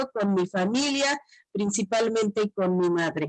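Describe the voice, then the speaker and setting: A woman speaks in a Chiapas accent with ordinary pitch variation, in a dry, close sound with no echo. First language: Tzotzil (speaking Spanish). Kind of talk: panel presentation.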